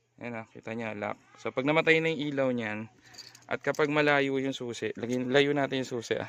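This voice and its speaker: A man at medium pitch, moderate pace and fairly even intonation. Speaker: motorcycle hobby vlogger. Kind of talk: tutorial; voice-over narration. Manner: casual, filler-heavy; soft-spoken on camera.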